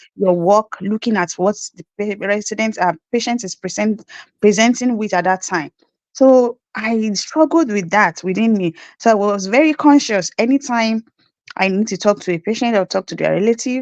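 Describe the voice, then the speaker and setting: A woman speaks at a moderate pace with a Nigerian accent. Her pitch sits fairly high, and the sound is dry and close with no echo. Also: ordinary pitch variation. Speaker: nurse. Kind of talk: interview.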